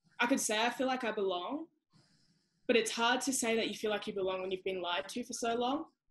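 A woman talks very fast in a passionate tone, her pitch fairly high. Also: ordinary pitch variation. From Australia. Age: young. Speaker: sprinter. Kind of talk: interview answer. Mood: earnest, reflective. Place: home room. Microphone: video call.

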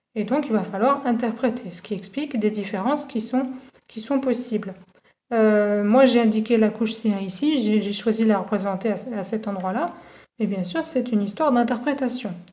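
Her voice is somewhat breathy and fairly high-pitched, with a dark, mellow tone. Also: ordinary pitch variation, moderate pace. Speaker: university geology lecturer. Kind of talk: tutorial. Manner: clear, measured explanation.

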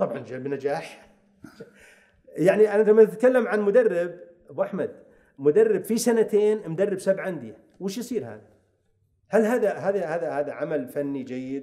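Speaking at a fairly slow pace with long, frequent pauses, a man with a high pitch uses lively intonation and big swings in loudness, all against a quiet background. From Saudi Arabia. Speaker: football coach. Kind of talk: casual interview. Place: studio. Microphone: studio mic.

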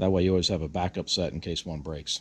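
A man's low-pitched voice with a slightly husky edge, fast pace and fairly even intonation.

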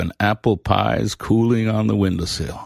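A man with a fairly low voice and an unremarkable speaking voice talks at a moderate pace in a very clean, dry, close recording with a silent background and no echo. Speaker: audiobook narrator. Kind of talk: scripted storytelling narration, reading a novel excerpt aloud with character voices. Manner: warm, gentle, expressive.

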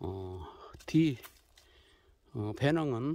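The sound is dry, with no echo. The speaker talks at a very slow pace. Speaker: vlogger filming an elder. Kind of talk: casual vlog talk to camera. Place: forest. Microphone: phone near.

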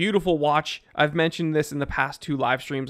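Over a quiet background, a man speaks very fast in an animated tone with a fairly high pitch. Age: 30s. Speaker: YouTube watch reviewer; watch reviewer streamer. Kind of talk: casual video monologue. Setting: home live streaming setup. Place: home room. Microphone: studio mic.

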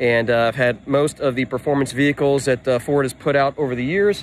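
A man's voice with light background noise and a dry sound with no echo. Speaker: car parts business vlogger. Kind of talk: casual vlog chat. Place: street. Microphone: phone near.

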